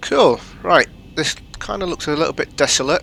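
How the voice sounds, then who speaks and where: A man is talking. There is noticeable background noise. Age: adult. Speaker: gaming youtuber. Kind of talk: gameplay commentary. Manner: halting.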